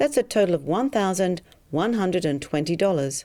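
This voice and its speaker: On a very clean recording with a silent background, a woman with an Australian accent speaks at a moderate pace in a medium-pitched, dark, mellow voice with very wide pitch swings. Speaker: hypnotherapist selling a program. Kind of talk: sales pitch.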